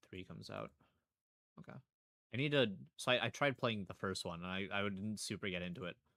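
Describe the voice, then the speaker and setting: In a very clean recording with a silent background, a man with a fairly low pitch and a bright, sharp tone talks at a fairly quick pace. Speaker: streamer. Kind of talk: casual live commentary.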